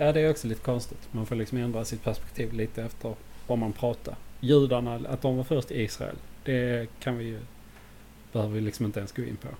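Somewhat breathy and dark, mellow in tone, a man speaks at a fairly quick pace and a medium pitch. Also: fairly even intonation. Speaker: podcast co-host. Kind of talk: casual chat.

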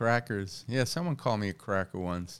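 A man with an American accent talks at a moderate pace, his pitch swinging very widely. The recording is very clean, with a silent background. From New York City, Queens. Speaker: stand-up comedian. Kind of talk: casual chat.

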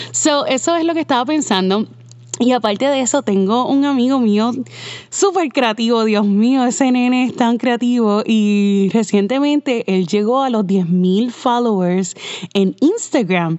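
A woman talks at a fairly slow pace with lively intonation and very even loudness. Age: 30s. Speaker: podcast host, web designer. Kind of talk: casual monologue. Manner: conversational, code-switching with English fillers.

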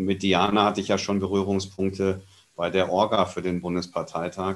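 A man speaks in a plain, everyday voice at a fairly low pitch. His pace is moderate, and the recording is very clean with a silent background. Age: 40s. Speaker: party board member, event technician. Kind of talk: podcast interview.

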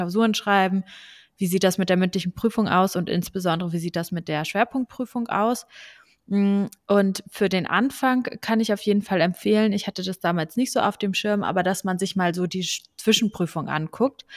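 Using a plain, everyday voice at medium pitch, a woman speaks at a moderate pace with fairly even intonation, in a dry, close sound with no echo and a very clean recording with a silent background. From Lower Saxony, Germany (Braunschweig). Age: 20s. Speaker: law student and podcast co-host. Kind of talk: casual chat.

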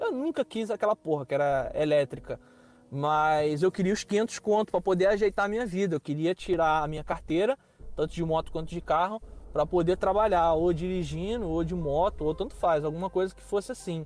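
A man's high voice in a Rio de Janeiro accent, at a fairly quick pace with ordinary pitch variation. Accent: carioca. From Rio de Janeiro, Brazil. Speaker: Brazilian immigrant in the US. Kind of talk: casual interview.

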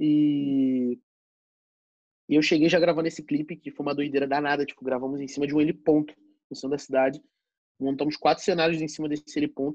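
With a Rio de Janeiro accent, a man speaks at a fairly quick pace and fairly high pitch, his monotone, flat delivery broken by long, frequent pauses. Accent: Carioca Brazilian Portuguese. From Rio de Janeiro, Zona Norte. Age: 20s. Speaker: DJ. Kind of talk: casual chat.

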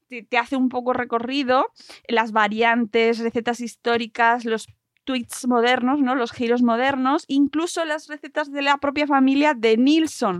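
High in pitch, a woman speaks at a fairly slow pace. The sound is dry and close, with no echo. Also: fairly even intonation. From Madrid region, Spain. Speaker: podcast host. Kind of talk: casual chat.

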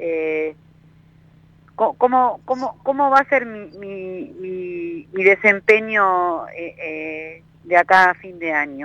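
This woman's voice sits at a medium pitch. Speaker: caller. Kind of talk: phone-in consultation. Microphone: delay on the line.

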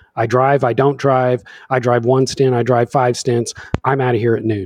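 At a moderate pace, a man with a plain, everyday voice speaks at medium pitch with fairly even intonation. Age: middle-aged. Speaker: sim racer. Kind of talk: casual chat.

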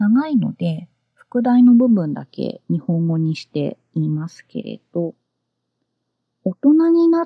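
A woman speaks in a calm, somewhat breathy tone at a fairly slow pace, her pitch swinging very widely. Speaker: podcast host and freelance translator. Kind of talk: solo podcast talk. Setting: home closet.

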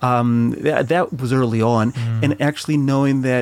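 A man's voice shows ordinary pitch variation as music plays in the background. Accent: American. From Chile, raised in the US. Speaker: immigrant father living in New Zealand. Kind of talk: casual chat. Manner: halting.

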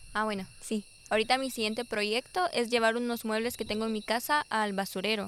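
A woman speaks at a fairly quick pace. Her pitch is fairly high, with ordinary pitch variation. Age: 20s. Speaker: guest. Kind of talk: casual chat. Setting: outdoors.

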